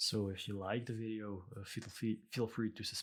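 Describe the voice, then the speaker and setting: Flat and monotone, a man speaks at a fairly low pitch with a Belgian accent. The recording is very clean, with a silent background. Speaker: illustrator. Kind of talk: tutorial. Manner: hesitant, many fillers.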